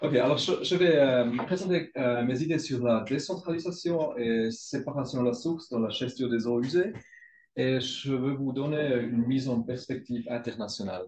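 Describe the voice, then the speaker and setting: Somewhat breathy, a man speaks with a non-native accent. His pitch is medium, with ordinary variation. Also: moderate pace. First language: not French (speaking French). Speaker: research group leader. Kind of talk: conference presentation. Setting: scientific council meeting. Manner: halting, many hesitations.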